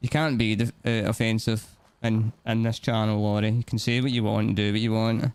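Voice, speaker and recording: A man speaks with a Scottish accent. His pitch is medium and his pace moderate. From Scotland. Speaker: gaming streamer. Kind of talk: live gameplay stream chat.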